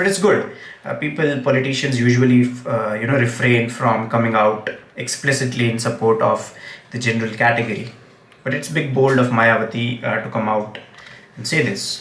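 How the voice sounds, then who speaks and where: Against noticeable background noise and audible room echo, a man with a Gujarati accent speaks at a moderate pace with fairly even intonation. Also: medium pitch for a man. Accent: Indian English, Gujarati. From India, Gujarat. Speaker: English teacher and political commentator. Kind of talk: live stream commentary. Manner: hesitant, many fillers.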